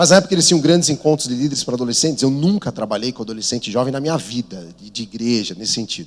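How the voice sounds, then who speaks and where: A man with a São Paulo accent, medium pitch, a very fast pace, hardly any pauses and big swings in loudness. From São Paulo, Brazil. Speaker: missionary. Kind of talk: sermon.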